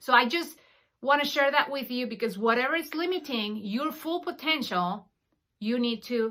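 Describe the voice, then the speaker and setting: A woman's high-pitched voice, bright and sharp in tone, with a Spanish accent, ordinary pitch variation and a moderate pace. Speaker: podcast host, financial coach. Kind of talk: monologue podcast.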